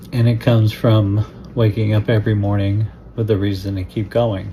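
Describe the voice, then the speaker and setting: A man speaks in a fairly low voice. His intonation stays flat and monotone. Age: 60s. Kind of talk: personal story told to camera. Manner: reflective, slow.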